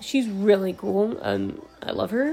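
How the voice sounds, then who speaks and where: A woman with an American accent sounds tired, with noticeable background noise behind her. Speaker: podcaster and college student. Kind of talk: casual solo ramble. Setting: recording at night at home, no earbuds. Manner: tired, casual.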